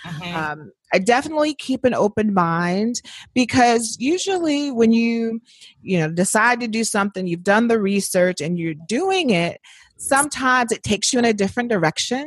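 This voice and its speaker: A woman talks at a moderate pace with an American accent, somewhat breathy, and her pitch swings very widely. The sound is dry and close, with no echo. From Indiana, US Midwest. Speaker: author and writer. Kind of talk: casual interview.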